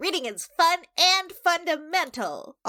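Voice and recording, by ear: A put-on character voice, extremely high and nasal, with an upbeat, cheerful tone at a fairly slow pace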